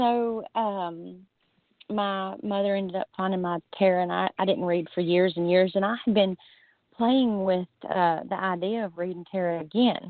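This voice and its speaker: A woman of medium pitch with a Southern US accent. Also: moderate pace. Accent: Southern US, noticeable. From US South. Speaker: guest, tarot reader. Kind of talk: casual chat. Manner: animated.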